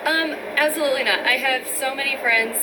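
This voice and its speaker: Amid noticeable background noise and audible room echo, a woman with a Pennsylvania accent speaks at a moderate pace with ordinary pitch variation. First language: Pennsylvania Dutch. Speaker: nursing student. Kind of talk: interview. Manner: hesitant, many fillers.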